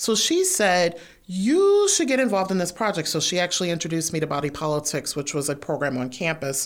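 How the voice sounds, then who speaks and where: A woman with a normal speaking voice and an American accent talks at a fairly quick pace with hardly any pauses, using lively intonation at a fairly low pitch. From Detroit, US Midwest. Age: 30s. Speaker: writer and performer. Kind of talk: interview conversation. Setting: studio.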